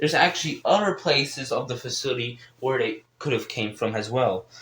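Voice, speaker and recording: A man with lively intonation and a medium pitch talks at a moderate pace while noticeable noise runs in the background. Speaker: gaming YouTuber. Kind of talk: casual explainer monologue. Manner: halting, many repetitions and fillers.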